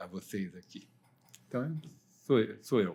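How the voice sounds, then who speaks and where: A man with a medium pitch and ordinary pitch variation keeps to a moderate pace. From Brazil, São Paulo city. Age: 60s. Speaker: economist. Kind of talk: podcast interview.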